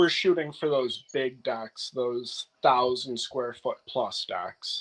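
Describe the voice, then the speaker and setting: A man talks at a very slow pace with an American accent. The sound is dry and close with no echo. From US Upper Midwest, north-central Wisconsin. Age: 30s. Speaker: wood restoration contractor. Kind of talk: casual interview.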